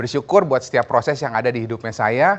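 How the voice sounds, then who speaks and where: A man at a medium pitch speaks with a lively, bouncing intonation. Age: 30s. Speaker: insurance agency leader. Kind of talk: motivational talk. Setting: video call. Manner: casual, animated.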